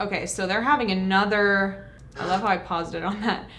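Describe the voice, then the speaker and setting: Over noticeable background noise and audible room echo, a woman with a medium pitch speaks at a moderate pace. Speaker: YouTuber reacting to trailer. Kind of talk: trailer reaction commentary.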